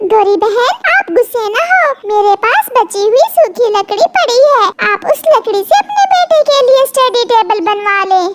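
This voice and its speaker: In a cartoonish character voice of extremely high pitch, a woman speaks at a moderate pace with very even loudness and hardly any pauses. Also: ordinary pitch variation. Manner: soft, gentle.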